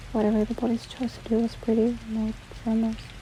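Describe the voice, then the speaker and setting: Soft-spoken and monotone with flat intonation, a woman talks at a fairly quick pace over noticeable background noise. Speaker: ASMR book reader. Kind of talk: audiobook reading.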